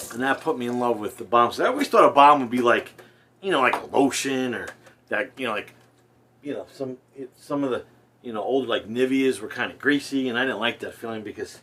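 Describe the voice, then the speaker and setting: A man with a New Jersey accent talks at a fairly quick pace and medium pitch, his intonation fairly even. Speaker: wet shaving youtuber. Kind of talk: casual product review. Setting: bathroom at home. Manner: casual, rambling.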